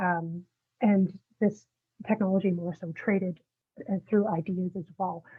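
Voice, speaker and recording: A soft-spoken woman talks at a moderate pace. Her intonation stays fairly even. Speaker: historian giving a public talk. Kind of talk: lecture. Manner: halting, many fillers. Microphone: coming through quietly.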